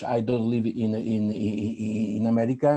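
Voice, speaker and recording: A man's dark, mellow tone at medium pitch, with a non-native accent. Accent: non-native English, rough. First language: Italian. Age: old. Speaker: psychoanalyst and author. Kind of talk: panel talk. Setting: video call. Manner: halting, many fillers and repetitions.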